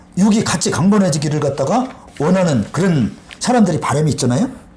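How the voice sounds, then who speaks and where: Amid noticeable background noise and audible room echo, a man speaks at a fairly quick pace in a high pitch with an animated tone and very wide pitch swings. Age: 60s. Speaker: water health lecturer. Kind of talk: interview talk.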